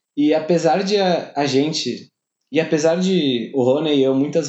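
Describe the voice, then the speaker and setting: A man talks fairly slowly in a normal speaking voice, fairly high in pitch, with ordinary pitch variation. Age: 20s. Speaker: podcast host. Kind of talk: personal letter read to listeners.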